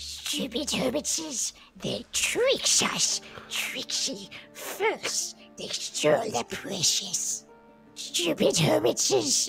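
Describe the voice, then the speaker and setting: A put-on character voice at a very slow pace, with clear music in the background. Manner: creepy, whining.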